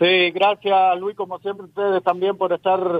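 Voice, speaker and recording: A man's high-pitched voice at a moderate pace. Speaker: radio host and political commentator. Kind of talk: remote interview.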